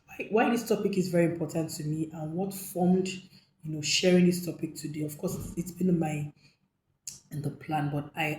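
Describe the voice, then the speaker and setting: At a moderate pace, a woman speaks in a fairly low pitch with a dark, mellow tone, a somewhat breathy voice and fairly even intonation. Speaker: hotel manager and hospitality coach. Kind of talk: tutorial talk to camera. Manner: some hesitations and repetitions.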